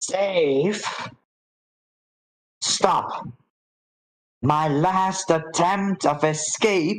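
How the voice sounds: A put-on character voice creeps along at a very slow pace, broken by long, frequent pauses. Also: woman, medium pitch for a woman.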